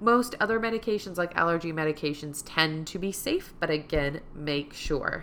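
A woman's voice sits very deep and low in pitch as she talks at a moderate pace. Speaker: podcast host and musician. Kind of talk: casual monologue.

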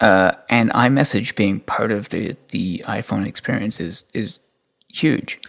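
With an unremarkable speaking voice, a man talks at a fairly slow pace, his fairly low pitch showing ordinary variation. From England, moved to Canada as a teen. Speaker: tech commentator. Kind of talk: casual chat.

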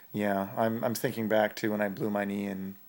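This man's fairly low voice stays monotone, with flat intonation throughout. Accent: western Canadian. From northern Alberta, Canada. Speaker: freestyle aerials skier. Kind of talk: casual chat. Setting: at home on a couch.

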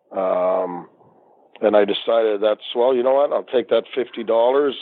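With fairly even intonation, a man holds a medium pitch. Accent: Maritime Canadian. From Nova Scotia, Canada. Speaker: retired hockey referee. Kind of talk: interview.

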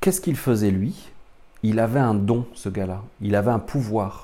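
In a dark, mellow tone, a man at medium pitch speaks with lively intonation amid audible room echo. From France. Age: 40s. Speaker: spiritual teacher. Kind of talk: lecture. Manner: halting.

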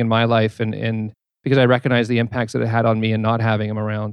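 Very fast speech from a man with a Canadian accent, medium in pitch, with monotone, flat intonation. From Manitoba, Canada. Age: 40s. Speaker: author. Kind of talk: on-stage interview. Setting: stage with audience.

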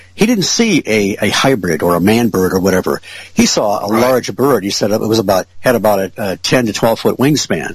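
Someone with an American accent talks at a fairly quick pace with ordinary pitch variation, and noticeable background noise is present. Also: man, fairly low pitch for a man. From Michigan, Detroit area (Ferndale). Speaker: UFO researcher. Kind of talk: casual interview.

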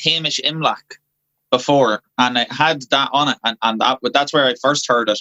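The man has an Irish accent and a fairly high pitch. His bright, sharp tone comes through in a dry, close sound with no echo. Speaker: folk band member. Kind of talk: casual interview.

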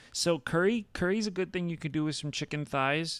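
In a very clean recording with a silent background and a dry, close sound with no echo, a man talks fairly quickly in an ordinary speaking voice with ordinary pitch variation. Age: 30s. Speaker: podcast host. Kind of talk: casual chat.

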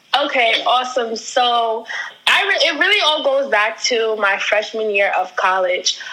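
A high-pitched woman talks fairly slowly with lively intonation and very even loudness, amid noticeable background noise and audible room echo. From US Northeast, Long Island, New York. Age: 20s. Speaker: brand strategist and ministry worker. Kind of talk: interview.

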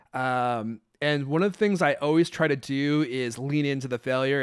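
A man's unremarkable speaking voice with an American accent, fairly high in pitch and fairly even in intonation, on a very clean recording with a silent background. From Redmond, Washington, US Pacific Northwest. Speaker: podcast host. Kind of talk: casual interview chat.

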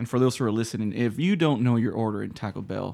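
A man with a Spanish accent speaks in a relaxed tone at a fairly quick pace. The recording is very clean with a silent background. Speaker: comedian. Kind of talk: casual chat. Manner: relaxed, joking.

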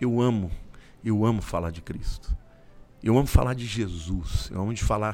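Speaking at a moderate pace with long, frequent pauses, a man with a fairly low pitch shows ordinary pitch variation and big swings in loudness. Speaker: pastor. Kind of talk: interview.

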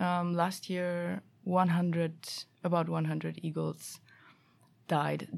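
A woman with a German accent speaks very slowly, with long, frequent pauses, in a very clean recording over a silent background. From Germany. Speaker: master's student. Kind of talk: casual interview.

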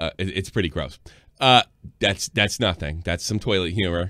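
Very fast and very deep, a man's low-pitched voice moves with ordinary pitch variation. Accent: American. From New York area. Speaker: live stream show host. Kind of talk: casual reaction chat. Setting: live online stream. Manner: animated, profane.

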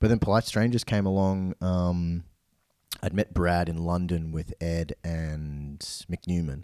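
With an Australian accent, a man with a very deep, low pitch and a dark, mellow tone talks at a fairly slow pace with fairly even intonation, in a dry, close sound with no echo on a very clean recording with a silent background. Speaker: DJ and music producer. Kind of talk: casual interview.

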